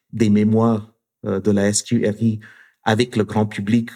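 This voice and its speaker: A man's dark, mellow voice with a non-native accent, very slow, on a very clean recording with a silent background. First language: not French (speaking French). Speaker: university professor and researcher. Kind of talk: interview conversation. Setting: studio in Montreal. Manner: halting with frequent repetitions.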